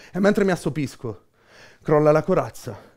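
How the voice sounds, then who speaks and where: A man speaks in a Campanian accent at a fairly quick pace, his tone intense and theatrical. The background is quiet. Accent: Campanian (Beneventano), southern Italian. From Benevento, Campania, southern Italy. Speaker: slam poet. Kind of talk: spoken word poetry performance. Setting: live performance, audience present. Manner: rhythmic, intense, theatrical, ironic and self-mocking. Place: shop. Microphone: headset.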